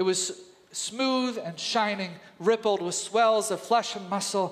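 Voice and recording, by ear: Read aloud in a natural voice, the passage moves with ordinary pitch variation.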